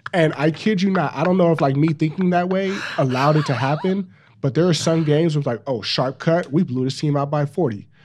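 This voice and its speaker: Using a plain, everyday voice, a man speaks at a fairly quick pace with fairly high pitch and ordinary pitch variation. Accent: American. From Los Angeles. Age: 30s. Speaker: podcast host, former football player, TV producer. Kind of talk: casual chat.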